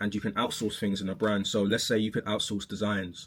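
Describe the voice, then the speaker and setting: This man speaks at a fairly low pitch. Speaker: clothing brand owner and vlogger. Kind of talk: casual vlog monologue. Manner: casual, many fillers and restarts.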